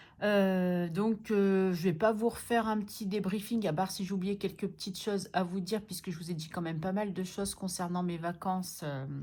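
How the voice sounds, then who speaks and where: Somewhat breathy, a woman at medium pitch talks at a moderate pace with a dark, mellow tone and fairly even intonation. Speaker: budgeting vlogger. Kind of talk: casual vlog. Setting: at home. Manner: soft-spoken; hesitant with fillers.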